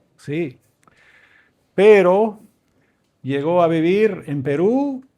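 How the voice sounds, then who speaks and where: Over a very clean recording with a silent background, a man speaks with ordinary pitch variation. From Venezuela, raised by Canadian missionary parents. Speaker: professor and visiting preacher. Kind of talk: sermon. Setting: church. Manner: informal, joking.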